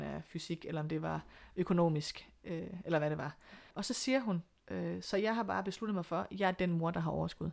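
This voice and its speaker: This woman has an ordinary speaking voice. Her pitch is fairly low. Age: 40s. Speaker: single mother by choice. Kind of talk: interview.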